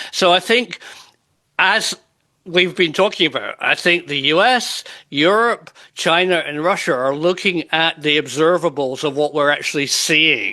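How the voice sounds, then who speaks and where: A man with a British accent, high-pitched and bright, sharp in tone, at a fairly slow pace with ordinary pitch variation over a quiet background. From UK. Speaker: UFO researcher and interviewer. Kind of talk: panel discussion.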